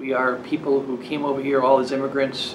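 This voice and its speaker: A man at a medium pitch with an American accent, plus audible room echo and noticeable background noise. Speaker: Vietnam War veteran. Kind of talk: interview testimony.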